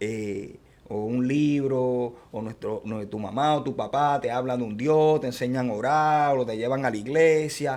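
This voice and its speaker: A man with an unremarkable speaking voice speaks fairly slowly at a medium pitch, with ordinary pitch variation. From born outside US, Latin American. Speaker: podcast host. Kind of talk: interview.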